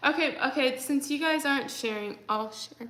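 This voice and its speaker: A woman with an American accent speaks at a high pitch with ordinary pitch variation, against noticeable background noise. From Texas. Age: 20s. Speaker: livestreamer. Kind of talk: casual chat. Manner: frequent fillers, like and um.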